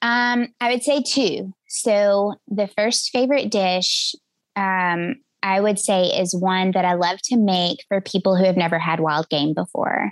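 Against a quiet background, a woman with a Southern US accent speaks at a fairly slow pace in a medium pitch, with ordinary pitch variation and very even loudness. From West Tennessee. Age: 40s. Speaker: hunter and podcaster. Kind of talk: interview conversation.

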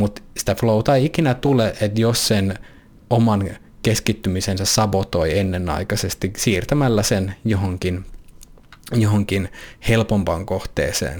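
At a fairly slow pace, a man talks in a fairly low voice with ordinary pitch variation. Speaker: podcast host and coach. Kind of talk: solo monologue podcast.

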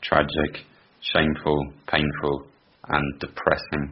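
In a British accent, a man speaks with a very deep, low pitch and monotone, flat intonation. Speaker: podcast co-host. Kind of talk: casual chat, football podcast.

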